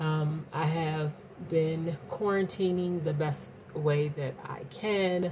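Over noticeable background noise, a woman with a very deep, low voice speaks very slowly with fairly even intonation. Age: 40s. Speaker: podcast host and singer. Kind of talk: casual monologue. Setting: home, in quarantine. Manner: hesitant with frequent fillers.

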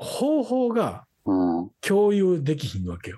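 Music plays in the background as a man with a Kansai accent speaks at a very slow pace. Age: 40s. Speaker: podcast co-host. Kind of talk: casual chat.

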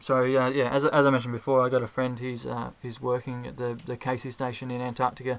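A man with an Australian accent speaks very fast with hardly any pauses. His medium-pitched voice keeps a monotone, flat intonation. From Australia (Ballarat, Victoria). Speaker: podcast fan. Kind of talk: casual chat. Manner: halting, many fillers and repeated words.

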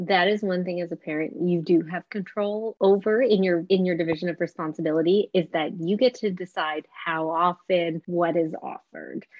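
A woman's fairly low, a plain, everyday voice with a Canadian accent, fairly quick with hardly any pauses and fairly even intonation. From Canada, Vancouver. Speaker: dietitian. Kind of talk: interview.

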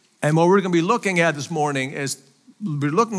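A high-pitched man with a Faroese accent and lively intonation. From Faroe Islands. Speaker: missionary preacher. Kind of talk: sermon. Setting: church.

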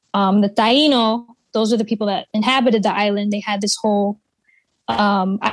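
Here is a woman with an American accent and a plain, everyday voice. Her pitch is fairly high, her intonation fairly even, and her pace moderate. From Connecticut. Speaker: artist and musician. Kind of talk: interview. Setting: video call.

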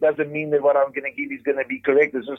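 A man speaks in a normal speaking voice. His pitch sits fairly high. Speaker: interview guest, hardware retail CEO. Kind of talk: conversational, faith-based leadership talk.

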